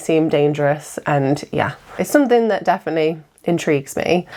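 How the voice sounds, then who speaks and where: A woman speaks in an English accent. Her pitch is fairly low. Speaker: YouTuber, wedding videographer. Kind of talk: casual storytelling monologue.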